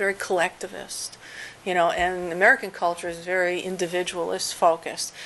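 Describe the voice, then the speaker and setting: A woman with a normal speaking voice talks at a fairly quick pace at a medium pitch. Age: 50s. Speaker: professor. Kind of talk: lecture; audience Q&A. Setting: seminar with audience.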